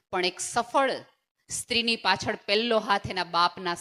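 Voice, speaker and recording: This woman's medium-pitched voice has a bright, sharp tone and ordinary pitch variation, captured in a very clean recording with a silent background. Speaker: motivational speaker. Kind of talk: motivational speech.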